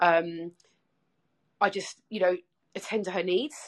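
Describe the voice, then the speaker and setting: This is a woman speaking. She has an English accent. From England. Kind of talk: casual interview. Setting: video call.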